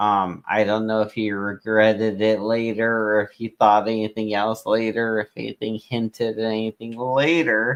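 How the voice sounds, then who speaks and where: A man with a medium pitch and a plain, everyday voice speaks at a fairly slow pace against a quiet background. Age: 30s. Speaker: streamer. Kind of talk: casual chat. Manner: rambling, filler-heavy.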